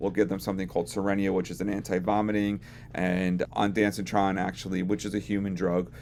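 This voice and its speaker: Using vocal fry, a man with a very deep, low pitch speaks at a fairly quick pace and with ordinary pitch variation. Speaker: veterinary technician. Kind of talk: educational talk to camera.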